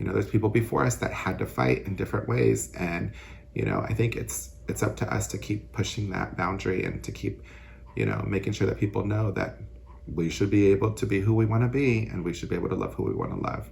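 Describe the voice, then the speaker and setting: A man's very deep, low voice with vocal fry and an American accent, very fast and full of very wide pitch swings. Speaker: city council member and teacher. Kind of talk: interview. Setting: outdoors. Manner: flamboyant.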